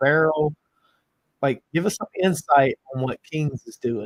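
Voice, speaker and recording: A man speaks with a strong Southern US accent at a moderate pace. His loudness swings widely while his pitch varies ordinarily, in a dry, close sound with no echo. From US South. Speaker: bourbon podcast host. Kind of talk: casual chat.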